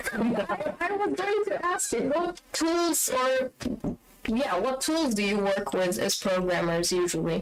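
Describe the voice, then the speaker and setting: Over noticeable background noise, a woman with a high pitch speaks with very wide pitch swings and very even loudness. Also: fairly slow pace. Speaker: community manager hosting stream. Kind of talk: live stream Q&A. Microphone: microphone hanging from ceiling, far away.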